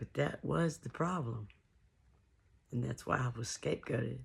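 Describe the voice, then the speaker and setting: A woman with vocal fry at a fairly slow pace. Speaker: musician and artist. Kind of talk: casual talk to camera, personal testimony.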